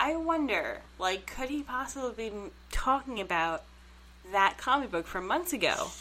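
With very wide pitch swings, a woman speaks in a raised, projected voice. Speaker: podcast co-host. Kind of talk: casual chat. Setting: studio.

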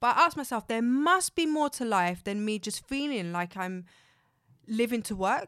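A woman in a very clean recording with a silent background. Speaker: confidence coach. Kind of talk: casual interview chat.

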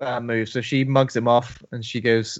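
A man with a British accent is speaking. His medium-pitched voice stays monotone and flat. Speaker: co-host. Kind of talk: casual chat.

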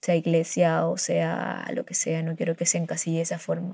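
A woman speaks at a moderate pace in a fairly low pitch. Her tone is dark and mellow, and somewhat breathy. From Colombian Caribbean coast, near Barranquilla. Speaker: podcaster. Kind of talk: personal monologue. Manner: hesitant, many fillers.

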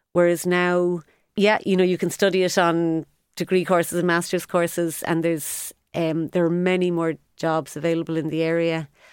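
A woman speaks in a Cork accent at a moderate pace, her pitch fairly low. Her intonation is monotone and flat, on a very clean recording with a silent background. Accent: Cork Irish. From Ireland, Cork. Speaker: sports business consultant. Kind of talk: interview. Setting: studio.

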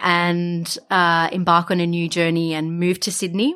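A woman with an Australian accent, a fairly low pitch, and a bright, sharp tone. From Australia, Wollongong. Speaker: tea business founder. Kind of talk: interview.

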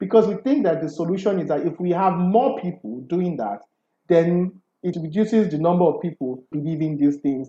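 Talking at a fairly quick pace, a man with a fairly high pitch and a dark, mellow tone uses lively intonation. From Nigeria. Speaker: fact-checking editor. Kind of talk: interview.

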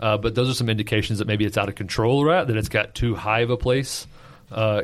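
A man speaks in a plain, everyday voice with fairly even intonation. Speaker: podcast co-host. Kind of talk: casual chat.

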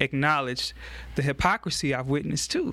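A man with a Louisiana accent, fairly high in pitch, bright and sharp in tone, in a very clean recording with a silent background. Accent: Louisiana Southern American. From US South, Baton Rouge, Louisiana. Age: 30s. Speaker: political candidate and community activist. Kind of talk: interview. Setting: church studio. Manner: halting, frequent repetitions.

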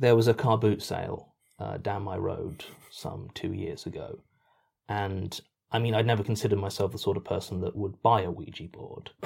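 A man's somewhat breathy, fairly low voice with a British accent and big swings in loudness, on a very clean recording with a silent background. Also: moderate pace. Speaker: podcast writer and voice actor. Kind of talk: casual Q&A chat. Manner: deadpan.

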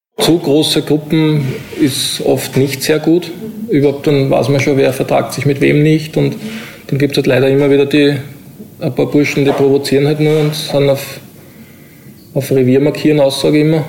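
A fairly high-pitched man with monotone, flat intonation, very even loudness, a moderate pace and long, frequent pauses, over noticeable background noise. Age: 40s. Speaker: prison officer. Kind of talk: interview.

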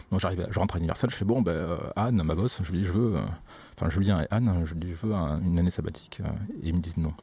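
A man's very deep, low voice at a very fast pace, with ordinary pitch variation and noticeable background noise. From southern France (Occitanie, Montpellier). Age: 30s. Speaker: sound engineer. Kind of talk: casual chat.

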